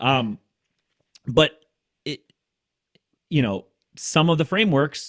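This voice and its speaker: Speaking at a very slow pace with long, frequent pauses, a man with fairly high pitch and lively intonation sounds dry and close, with no echo. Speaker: podcast co-host. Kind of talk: casual interview conversation.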